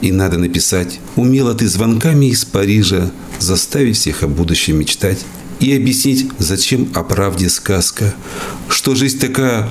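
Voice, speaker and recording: With audible room echo and noticeable background noise, a man talks at a fairly slow pace in a fairly low voice with lively intonation. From Izhevsk, Udmurtia, Russia. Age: 60s. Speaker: doctor and poet. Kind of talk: poetry reading; speech at book presentation. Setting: library event with audience.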